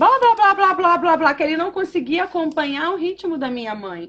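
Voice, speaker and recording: A woman talks at a fairly quick pace. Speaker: English teacher. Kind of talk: casual chat. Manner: moderate pace.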